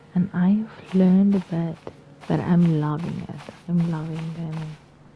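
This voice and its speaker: A woman's fairly low voice at a moderate pace, fairly even in intonation, with noticeable background noise. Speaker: gaming YouTuber. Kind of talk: let's play commentary. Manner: halting, repeats words; casual, chatty.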